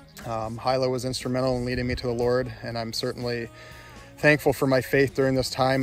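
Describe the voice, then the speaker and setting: Over faint background music, a man talks at a fairly quick pace in a monotone, flat way, with a dry sound and no echo. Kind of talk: casual vlog chat, personal reflection. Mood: grieving, sincere, subdued. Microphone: phone near.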